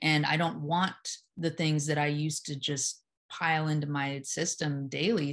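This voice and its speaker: A woman's very deep, low-pitched voice over a quiet background. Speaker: hypnotherapist and yoga teacher. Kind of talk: casual conversation interview.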